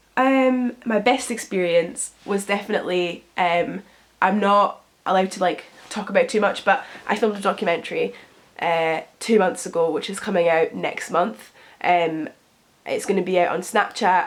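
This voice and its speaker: A woman with a British accent speaks at a medium pitch and a moderate pace, her pitch varying in an ordinary way. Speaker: lifestyle youtuber. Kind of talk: casual Q&A vlog.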